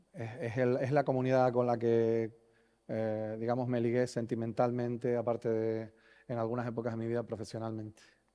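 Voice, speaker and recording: Speaking at a fairly quick pace, a man talks in a Canarian accent. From Canary Islands, Spain. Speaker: conference speaker on software delivery. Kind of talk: conference talk. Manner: hesitant, many fillers and repetitions.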